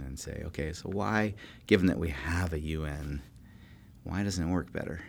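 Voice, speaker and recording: A man with an American accent, vocal fry, a moderate pace and ordinary pitch variation. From California. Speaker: political science professor. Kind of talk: interview. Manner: halting.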